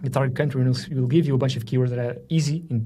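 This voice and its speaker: A man with a medium pitch and a dark, mellow tone sounds somewhat breathy, with audible room echo around him. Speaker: software marketer demoing a tool. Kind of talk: screen-share tutorial. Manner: fast; casual, with filler words.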